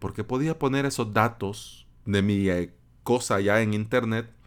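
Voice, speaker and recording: With a Salvadoran accent, a man talks at a fairly slow pace in a fairly low pitch with ordinary pitch variation, on a very clean recording with a silent background. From El Salvador, San Salvador. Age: 30s. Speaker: podcast host, web developer. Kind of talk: solo podcast monologue. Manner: casual, conversational with fillers.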